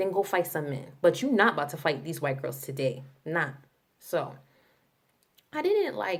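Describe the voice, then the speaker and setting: A woman talks at a moderate pace. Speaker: vlogger. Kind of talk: casual storytime vlog. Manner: animated.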